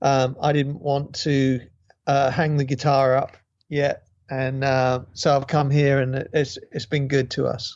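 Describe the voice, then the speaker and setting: In a British accent, a man speaks fairly slowly with a fairly high pitch and flat, monotone intonation. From Great Britain. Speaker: guitarist and songwriter. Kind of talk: interview. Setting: video call.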